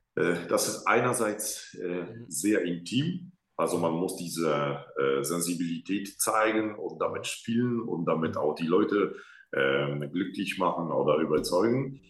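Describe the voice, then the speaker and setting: Audible room echo surrounds a man with a Polish accent and a fairly low pitch. He talks at a very slow pace with lively intonation. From Poland, Łódź. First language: Polish (speaking German). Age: 30s. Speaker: opera singer. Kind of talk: interview. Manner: halting.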